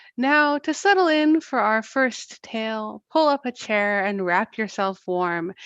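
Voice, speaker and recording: Fairly high in pitch, a woman speaks in an unremarkable speaking voice at a fairly slow pace. The sound is dry and close with no echo, over a quiet background. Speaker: astronomer. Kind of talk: livestream astronomy presentation.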